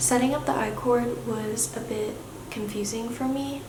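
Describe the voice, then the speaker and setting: A woman speaks quietly at a fairly slow pace with ordinary pitch variation, while noticeable background noise and audible room echo fill the recording. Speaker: vlogger. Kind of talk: casual vlog talk. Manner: talking quietly; hesitant, many fillers.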